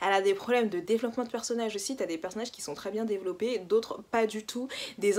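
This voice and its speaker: Noticeable background noise sits behind this recording. A woman with a medium pitch talks at a very fast pace. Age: 20s. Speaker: book YouTuber. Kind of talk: casual vlog monologue. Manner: animated.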